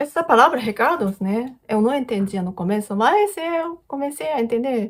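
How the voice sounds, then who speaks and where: At a moderate pace, a woman with a Japanese accent speaks at a high pitch with very wide pitch swings. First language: Japanese (speaking Portuguese). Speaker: YouTuber. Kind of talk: casual Q&A vlog. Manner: halting, many fillers.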